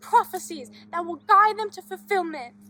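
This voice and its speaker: A put-on character voice at an extremely high pitch, speaking at a moderate pace over faint background music. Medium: short film. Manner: cryptic, evasive.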